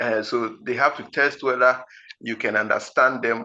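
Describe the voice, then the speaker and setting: Speaking with a Ghanaian accent, a man has a bright, sharp tone. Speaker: IELTS teacher. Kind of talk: lecture. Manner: slow, deliberate; halting.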